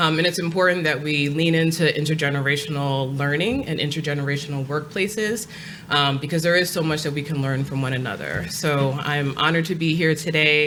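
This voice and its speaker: Amid noticeable background noise and audible room echo, a woman with a very deep, low voice speaks in an American accent with fairly even intonation. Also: fairly quick pace, hardly any pauses. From New York, Long Island. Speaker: nonprofit executive director. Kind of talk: panel discussion. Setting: stage with audience.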